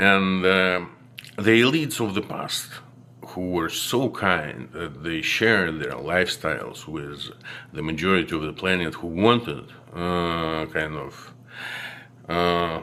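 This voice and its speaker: A man with a non-native accent speaks at a fairly slow pace in a very deep, low voice with ordinary pitch variation. Audible room echo surrounds the recording. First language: not English. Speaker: video blogger. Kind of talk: monologue to camera. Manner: halting, many fillers.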